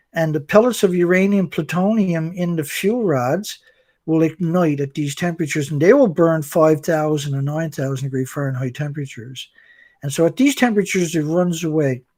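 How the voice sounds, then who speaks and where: In a normal speaking voice, a man talks at a fairly quick pace with a fairly high pitch. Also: ordinary pitch variation. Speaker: anti-nuclear activist. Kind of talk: explanatory interview talk. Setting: live stream video call.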